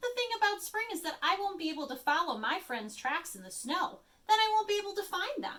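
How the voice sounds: A woman puts on a character voice that is extremely high, bright and sharp, moving at a fairly quick pace with big swings in pitch.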